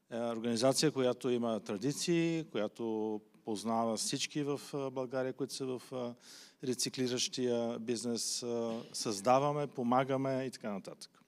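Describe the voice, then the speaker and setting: A man with a Bulgarian accent speaks at a moderate pace and a medium pitch. His intonation is fairly even, in a very clean recording with a silent background. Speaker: recycling industry association head. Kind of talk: panel discussion.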